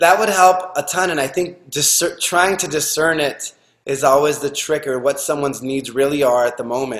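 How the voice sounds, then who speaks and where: In an unremarkable speaking voice, a man talks at a fairly high pitch at a moderate speed, his pitch varying in an ordinary way. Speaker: podcast host. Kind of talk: interview question.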